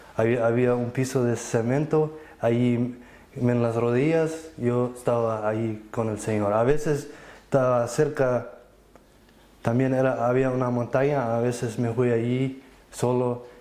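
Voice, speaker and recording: A man at medium pitch, speaking at a fairly slow pace in a monotone, flat delivery, with audible room echo. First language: Plautdietsch (Low German) (speaking Spanish). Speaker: church member giving testimony. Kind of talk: testimony. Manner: halting, with false starts and repetitions.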